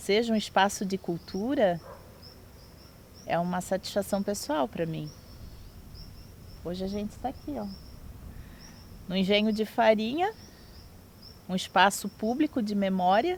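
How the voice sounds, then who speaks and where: Somewhat breathy, a woman speaks at a medium pitch and fairly slow pace, with ordinary pitch variation and long, frequent pauses. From Bombinhas, Santa Catarina, Brazil. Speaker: public culture official. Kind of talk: documentary interview. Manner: formal.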